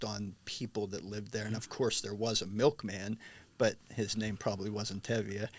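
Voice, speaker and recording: Recorded very cleanly with a silent background, a man with an American accent speaks in a fairly low pitch with monotone, flat intonation. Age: 60s. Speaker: stage actor and singer. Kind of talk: interview. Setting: studio.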